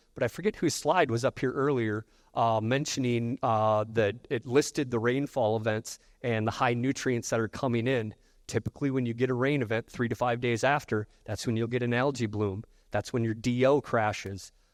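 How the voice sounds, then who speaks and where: A man with a Midwestern accent is heard against a quiet background, the sound dry and close with no echo. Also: medium pitch for a man, fairly even intonation, moderate pace. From US Midwest. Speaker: technology presenter. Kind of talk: conference presentation.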